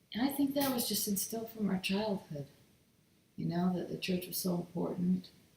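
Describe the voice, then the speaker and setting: A woman speaks with an American accent at a fairly low pitch. Her pitch varies in an ordinary way, and there is noticeable background noise. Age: 60s. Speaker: office worker, church member. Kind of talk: casual interview.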